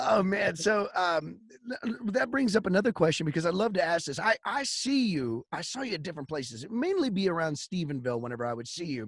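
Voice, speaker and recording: A man speaks at a very fast pace in a high pitch. His voice makes very wide pitch swings. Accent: Texas. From Texas. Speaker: podcast host and singer-songwriter. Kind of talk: casual chat.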